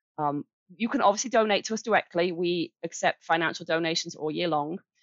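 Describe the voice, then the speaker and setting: Speaking at a fairly quick pace with an English accent, a woman shows vocal fry and ordinary pitch variation. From Birmingham, England. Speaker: charity director. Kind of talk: interview.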